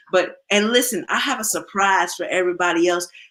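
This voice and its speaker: Loud and at a fairly quick pace, a woman talks at a medium pitch with ordinary pitch variation. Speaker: livestream host. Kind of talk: casual chat.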